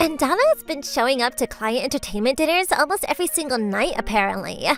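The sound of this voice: A woman's put-on character voice, fairly bright and high, with big pitch swings and a fast pace, dry and close with no echo over faint background music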